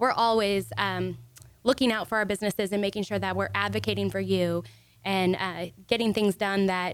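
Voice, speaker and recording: A woman's normal speaking voice, medium in pitch, at a fairly quick pace. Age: 20s. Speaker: chamber of commerce director. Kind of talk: radio interview. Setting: radio studio.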